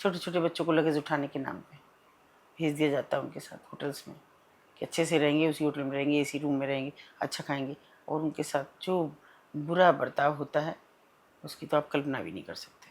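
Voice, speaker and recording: A woman's very deep, low voice stays monotone and flat while swinging widely in loudness. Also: moderate pace. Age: 60s. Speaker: social worker. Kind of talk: interview. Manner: impassioned.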